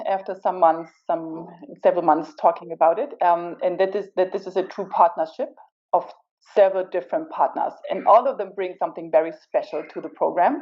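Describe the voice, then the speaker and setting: In a German accent, a woman talks at medium pitch and a moderate pace. Her intonation is lively. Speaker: corporate partner representative. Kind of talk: panel answer.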